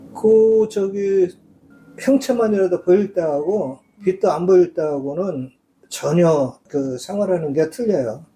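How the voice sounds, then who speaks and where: Over music in the background, a man with a high pitch and lively intonation speaks at a very slow pace. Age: 60s. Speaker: blind massage clinic owner. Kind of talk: interview.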